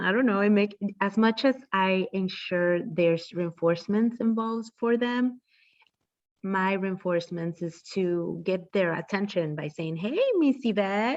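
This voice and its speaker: A woman talks at a fairly slow pace. She has a non-native accent. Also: medium pitch for a woman, ordinary pitch variation. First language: not English. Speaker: behavior analyst. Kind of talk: interview. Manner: halting.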